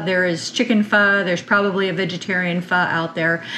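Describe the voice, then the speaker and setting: With light background noise behind her, a woman speaks with ordinary pitch variation. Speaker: farm vlogger. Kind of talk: cooking tutorial intro chat. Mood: warm, enthusiastic. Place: kitchen. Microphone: camera far.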